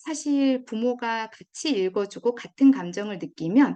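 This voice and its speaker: A woman speaks in a Gyeongsang accent at a high pitch. Her tone is dark and mellow, with very wide pitch swings. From Gyeongsang region, South Korea. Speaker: education expert, parenting lecturer. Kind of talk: lecture.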